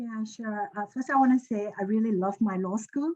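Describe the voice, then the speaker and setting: A woman with a Chinese accent speaks at medium pitch in a dark, mellow tone with fairly even intonation. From China. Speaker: lawyer. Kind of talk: webinar panel discussion.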